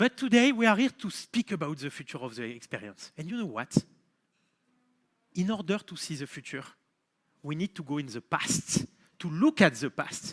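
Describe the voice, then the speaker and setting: A man in a French accent uses a raised, projected voice with a bright, sharp tone, very wide pitch swings and a moderate pace, the sound dry and close with no echo. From France, Marseille. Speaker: company founder and CEO. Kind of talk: keynote speech.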